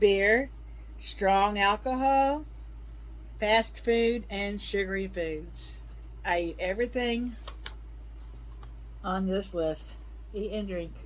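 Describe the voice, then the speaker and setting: A woman speaks at a very slow pace, with long, frequent pauses. Audible room echo surrounds her voice. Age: 60s. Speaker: health tips vlogger. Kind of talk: casual talk to camera.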